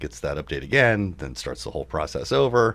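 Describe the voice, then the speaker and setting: A man's fairly quick, vocal-fried delivery with very wide swings in pitch. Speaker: computer repair shop owner and tech radio host. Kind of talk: casual tech talk show.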